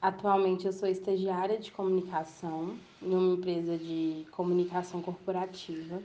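Speaking at a moderate pace with hardly any pauses, a woman uses a medium pitch, a dark, mellow tone and monotone, flat intonation. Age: 20s. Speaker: communications intern sharing personal testimony. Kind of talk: personal testimony monologue.

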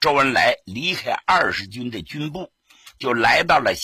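An unforced reading voice comes through with a quiet background behind it.

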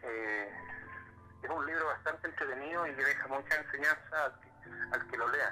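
Music plays in the background as a man talks with long, frequent pauses. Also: moderate pace. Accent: Chilean. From Chile, Concepción area. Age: 40s. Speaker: social worker and local politician. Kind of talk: interview. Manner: halting, with frequent repetitions.

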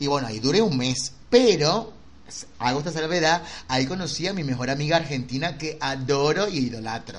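With audible room echo, a man speaks at a moderate pace in a fairly high pitch, his intonation lively. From Venezuela. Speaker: podcast host. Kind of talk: casual chat.

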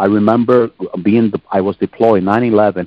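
A man's fairly low-pitched, unremarkable speaking voice at a moderate pace. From northern New Jersey, Puerto Rican family. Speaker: pastor. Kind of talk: testimony.

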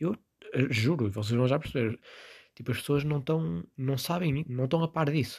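A man speaks with a European Portuguese accent, somewhat breathy and animated. His intonation is lively. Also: dry, close sound with no echo. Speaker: podcast host. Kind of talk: casual solo commentary.

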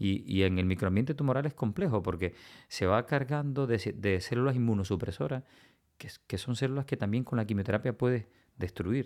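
On a very clean recording with a silent background, a man with an unremarkable speaking voice talks at medium pitch and a moderate pace with lively intonation. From Cuba, Villa Clara province. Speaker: oncologist. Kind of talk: interview.

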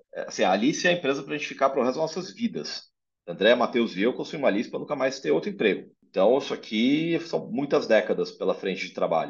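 Hardly pausing at all, a man rushes through his words at a very fast pace. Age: 40s. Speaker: health tech entrepreneur. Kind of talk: interview conversation.

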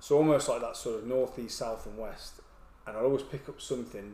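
Talking at a fairly quick pace, a man of medium pitch speaks with an English accent. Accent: English accent, noticeable in Wales. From England. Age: 40s. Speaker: army veteran and ultra runner. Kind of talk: casual chat.

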